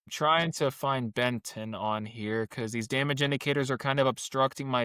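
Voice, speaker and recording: In a very clean recording with a silent background and a dry, close sound with no echo, a man speaks fairly slowly with a bright, sharp tone and fairly even intonation. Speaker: weather channel host. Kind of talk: narrated presentation with co-host. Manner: halting, repeats words.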